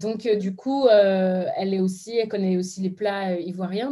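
A woman's medium-pitched voice, dark and mellow in tone, fairly slow in pace, with ordinary pitch variation. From France, Beninese parents. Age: 30s. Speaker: social media influencer. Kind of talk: interview testimony.

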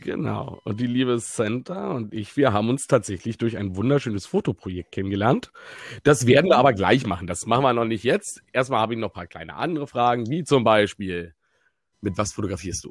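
An unremarkable speaking voice from a man at medium pitch, fairly quick and lively in intonation, with big swings in loudness on a very clean recording with a silent background. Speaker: podcast co-host. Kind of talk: casual chat.

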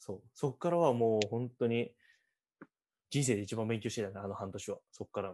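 A man's dark, mellow tone comes through at a fairly quick pace. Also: medium pitch for a man, ordinary pitch variation. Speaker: podcast host, university student. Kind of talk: casual interview chat.

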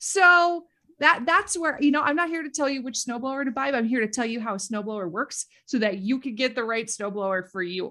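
In a Minnesota accent, a woman talks at a fairly quick pace with a high pitch and a bright, sharp tone. Her pitch swings very widely, and the recording is very clean with a silent background. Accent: Minnesota Midwestern. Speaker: educator and social media creator. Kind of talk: casual interview chat.

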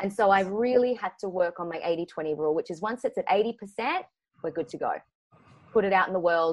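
With an Australian accent, a woman speaks fairly quickly at a medium pitch, her pitch varying in an ordinary way. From Queensland, Australia (Brisbane). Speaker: actor and script writer. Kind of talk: casual interview chat. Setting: remote call.

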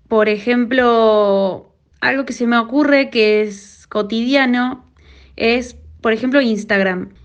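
Speaking very slowly, a woman keeps her fairly high voice in fairly even intonation. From Argentina, Córdoba. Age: young. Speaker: blind technology user. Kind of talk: testimony.

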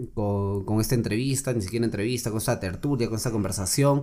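A man talks in a normal speaking voice at a medium pitch. His pitch varies in an ordinary way. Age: 20s. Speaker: lawyer. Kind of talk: casual chat.

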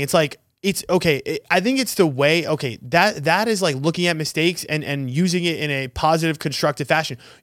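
An animated tone with ordinary pitch variation comes at a fairly quick pace over a very clean recording with a silent background. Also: man. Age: late 20s. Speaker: podcast co-host. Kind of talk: casual chat.

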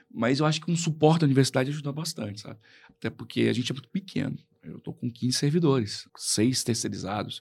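Lively intonation and vocal fry mark this man's fairly quick speech. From Brazil, Tocantins (Colinas). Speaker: public official and lawyer. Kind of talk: radio interview. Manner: halting, repeats words.

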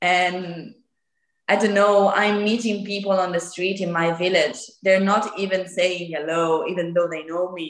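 At a fairly slow pace, a woman speaks with an Italian accent at a medium pitch, her intonation monotone and flat. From northern Italy, near Lake Como. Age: 20s. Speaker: guest, former au pair.

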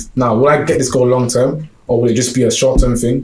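A man with a London accent talks at a very fast pace and a medium pitch. His intonation is fairly even, and there is noticeable background noise. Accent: London Multicultural English. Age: 20s. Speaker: podcast host. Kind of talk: casual chat.

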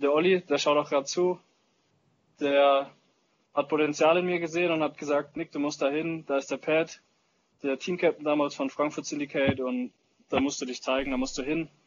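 A man with a fairly high pitch, fairly even intonation and a moderate pace. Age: 20s. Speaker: paintball player and social media influencer. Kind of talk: casual chat.

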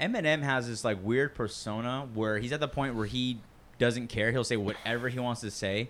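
A man with an American accent and an ordinary speaking voice, medium in pitch, at a moderate pace with fairly even intonation. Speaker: podcast co-host. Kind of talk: casual banter, comedy podcast. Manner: casual, joking, profane.

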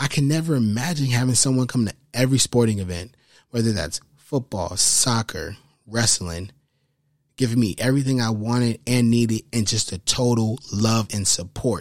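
On a very clean recording with a silent background, a man speaks at a moderate pace in a plain, everyday voice, medium in pitch with ordinary pitch variation. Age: 20s. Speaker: podcast host. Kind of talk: casual monologue.

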